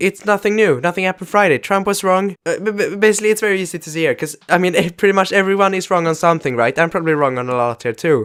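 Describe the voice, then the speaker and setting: Speaking very fast with a Swedish accent, a man uses ordinary pitch variation. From Sweden. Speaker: YouTuber. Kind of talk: vlog commentary. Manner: halting.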